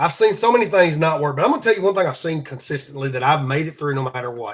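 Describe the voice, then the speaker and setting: Here is a man with a fairly high pitch and lively intonation. He speaks with a Southern US accent. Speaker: podcast host. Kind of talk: devotional talk. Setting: live stream. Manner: halting, repeats words.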